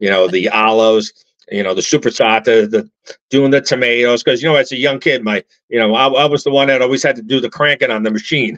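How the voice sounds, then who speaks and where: A man with an American accent talks at a very fast pace, medium in pitch with ordinary pitch variation. The background is quiet. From upstate New York. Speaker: actor and filmmaker; actor. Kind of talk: interview. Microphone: video call.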